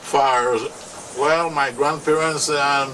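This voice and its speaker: With a Limón Creole accent, a man with a fairly high pitch speaks very slowly in a fairly even intonation, with noticeable background noise and audible room echo. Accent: Afro-Caribbean Limón Creole English. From Costa Rica, Caribbean coast (Talamanca). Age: 60s. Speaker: local landowner. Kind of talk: interview testimony. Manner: halting.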